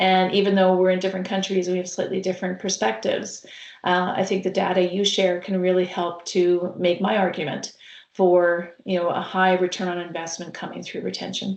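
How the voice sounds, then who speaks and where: A woman with a Canadian accent, an ordinary speaking voice, medium pitch, fairly even intonation and a fairly quick pace. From Canada, Saskatchewan. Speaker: healthcare consultant. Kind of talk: webcast interview. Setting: online webcast.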